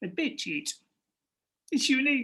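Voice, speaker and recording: This is a put-on character voice. It sounds gruff and is high in pitch. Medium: read story. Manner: calm.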